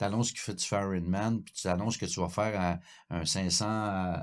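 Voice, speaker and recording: In a very clean recording with a silent background, a man with a very deep, low pitch talks at a moderate pace with fairly even intonation. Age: 60s. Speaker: cycling coach. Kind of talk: podcast conversation. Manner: halting, repetitive.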